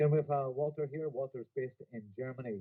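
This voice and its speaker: With a Donegal accent, a man speaks at a very fast pace. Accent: Donegal Irish. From Ireland, Donegal. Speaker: company executive presenting a business opportunity. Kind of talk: business presentation. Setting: video presentation by a beach. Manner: animated.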